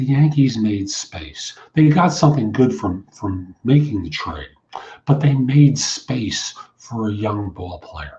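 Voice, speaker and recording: Speaking very slowly with an American accent, a man uses a medium, somewhat breathy voice whose pitch swings very widely and whose loudness rises and falls sharply. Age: 60s. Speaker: recruiter and career coach. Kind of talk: podcast monologue. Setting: internet radio show.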